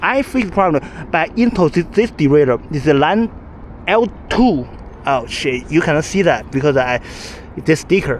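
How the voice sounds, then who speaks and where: A man with a non-native accent speaks at a moderate pace in a fairly high pitch, his voice swinging very widely in pitch over noticeable background noise. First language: not English. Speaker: cyclist. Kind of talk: casual talk to camera. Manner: stuttering.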